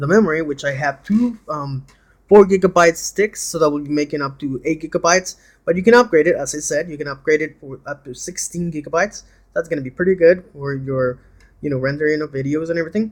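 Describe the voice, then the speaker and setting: Talking at a very fast pace with a non-native accent, a man uses a fairly high pitch, ordinary pitch variation and big swings in loudness. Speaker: seller reviewing his laptop. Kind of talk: casual product demo. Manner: hesitant, many fillers.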